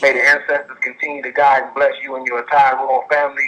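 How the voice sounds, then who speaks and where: Words pour out of a man at a very fast pace. His volume rises and falls in big swings. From Chicago. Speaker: caller. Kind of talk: call-in testimony.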